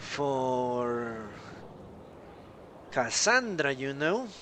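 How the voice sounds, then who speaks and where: Over noticeable background noise, a man with a South American accent speaks at a fairly high pitch with very wide pitch swings. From Colombia. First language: Spanish. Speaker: gaming streamer. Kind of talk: live gameplay commentary. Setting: live stream.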